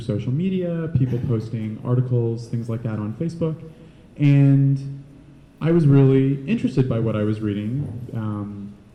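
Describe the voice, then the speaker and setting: A man talks at a moderate pace in a medium pitch, with ordinary pitch variation and a dark, mellow tone. Room echo is audible. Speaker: panelist sharing experience as a PrEP user. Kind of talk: panel talk. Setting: panel event with audience. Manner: quiet-spoken.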